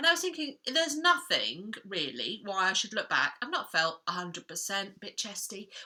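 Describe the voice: A woman puts on a hoarse character voice at a medium pitch, with very wide pitch swings. Her pace is moderate.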